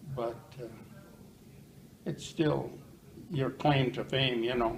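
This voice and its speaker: A man talks at a very slow pace in a medium-pitched voice. His intonation stays fairly even. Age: 80s+. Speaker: retired plumber. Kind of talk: interview. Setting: senior living residence. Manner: loud.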